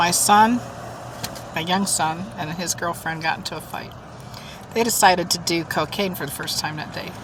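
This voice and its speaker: With long, frequent pauses and ordinary pitch variation, a woman speaks over noticeable background noise. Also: fairly low pitch for a woman, moderate pace. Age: 60s. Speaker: mukbang vlogger. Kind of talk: casual storytelling while eating.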